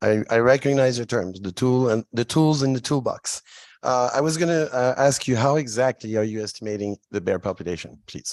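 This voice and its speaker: A man with a French accent, medium pitch and ordinary pitch variation, a fairly quick pace, dry, close sound with no echo, and a quiet background. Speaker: state legislator. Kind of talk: legislative hearing questioning. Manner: halting.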